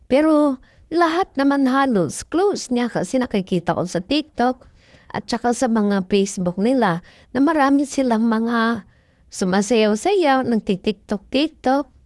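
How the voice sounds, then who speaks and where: A high-pitched woman at a fairly slow pace with lively intonation, dry and close with no echo, against a quiet background. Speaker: fan commentary vlogger. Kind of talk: casual fan commentary over video. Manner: animated, gushing.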